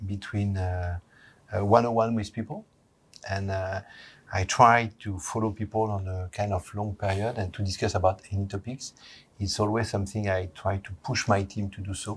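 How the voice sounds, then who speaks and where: On a very clean recording with a silent background, a man's somewhat breathy, fairly low voice moves at a moderate pace with monotone, flat intonation. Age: 60s. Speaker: corporate HR executive. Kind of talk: interview. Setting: company head office.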